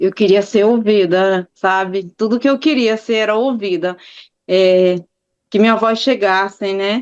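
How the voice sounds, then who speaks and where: A woman speaks with a northeastern Brazilian accent at a medium pitch. Her pace is fairly slow. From Maranhão, Brazilian Northeast (Imperatriz). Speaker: victim's aunt, interviewee. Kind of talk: interview. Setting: video call. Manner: animated.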